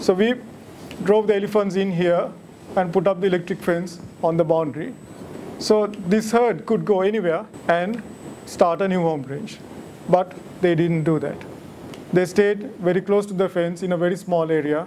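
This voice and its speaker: The speaker goes at a moderate pace with fairly even intonation and long, frequent pauses. Light background noise is present. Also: man, high pitch for a man. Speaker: lecturer at a monthly wildlife society talk. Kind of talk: lecture. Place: hall. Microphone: podium.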